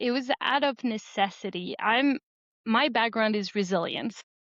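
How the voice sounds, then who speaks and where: Speaking in a French accent, a woman uses a fairly high pitch with ordinary pitch variation at a moderate pace, recorded dry and close with no echo against a quiet background. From France. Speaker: board game creator. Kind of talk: interview.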